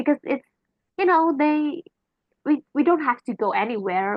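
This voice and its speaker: A woman speaks with an Indonesian accent. Her intonation is lively. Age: 20s. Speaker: university student. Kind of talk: exam answer explanation, casual. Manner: halting, many fillers; chatty, animated.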